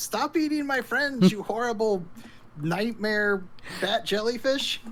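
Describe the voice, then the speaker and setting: A female-sounding put-on character voice shouts at a fairly high pitch and a fairly slow pace. Background noise is clearly audible. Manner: yelling, defiant.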